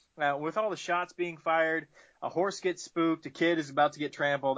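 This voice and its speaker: A man with an American accent talks at a fairly quick pace in an unremarkable speaking voice, his pitch fairly high. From US South. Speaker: podcast co-host. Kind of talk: comic book review recap; casual chat.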